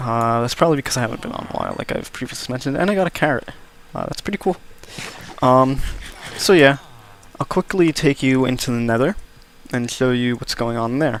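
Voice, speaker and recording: Over noticeable background noise, a man talks at a very fast pace broken by long, frequent pauses. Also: medium pitch for a man, ordinary pitch variation. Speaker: gaming video creator. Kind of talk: gameplay commentary. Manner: hesitant, many fillers.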